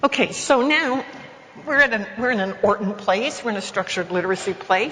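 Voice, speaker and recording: Noticeable background noise sits under a woman's lively intonation. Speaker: education professor. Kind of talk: conference lecture. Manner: fast.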